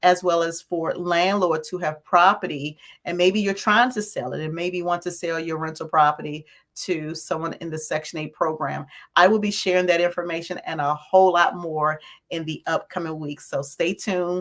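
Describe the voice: A woman talks at a moderate pace with a fairly low pitch and fairly even intonation. Her voice is raspy, with a fairly bright tone.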